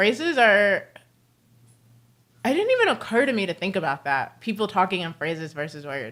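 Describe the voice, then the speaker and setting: A woman with an American accent at medium pitch, speaking at a very fast pace in a very clean recording with a silent background. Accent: slight British tinge at times. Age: 30s. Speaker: streamer. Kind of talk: casual chat. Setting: livestream at home. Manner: fluid, runs words together.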